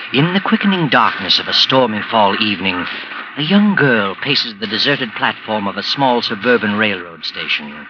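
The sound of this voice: Doing a put-on character voice, a man of medium pitch talks at a moderate pace with lively intonation, over clear background noise and hissing.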